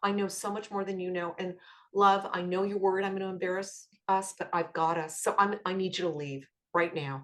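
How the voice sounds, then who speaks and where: An unremarkable speaking voice from a woman, medium-pitched, varying in pitch in an ordinary way. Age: 60s. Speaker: author and life coach. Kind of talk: podcast interview.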